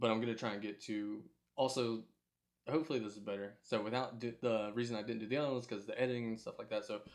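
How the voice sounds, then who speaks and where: Mumbling at a very fast pace, a man keeps his intonation fairly even. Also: medium pitch for a man. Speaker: MMA podcast host. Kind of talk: solo podcast recap. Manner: hesitant, many fillers.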